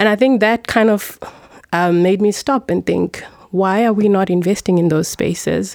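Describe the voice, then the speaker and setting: A woman with an ordinary speaking voice talks at a moderate pace and medium pitch, with ordinary pitch variation and very even loudness. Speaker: finance executive. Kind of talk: casual group interview. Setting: studio.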